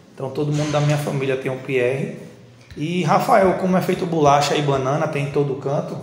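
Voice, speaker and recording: A man speaks at a fairly quick pace with a fairly high pitch and fairly even intonation. Noticeable background noise and audible room echo surround him. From Northeast Brazil, Recife. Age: 30s. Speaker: technical school teacher. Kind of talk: interview. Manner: casual.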